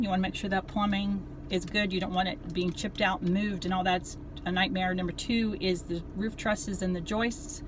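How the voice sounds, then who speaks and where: A woman speaks over noticeable background noise. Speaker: realtor. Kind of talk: casual advice vlog. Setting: in a car. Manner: fast.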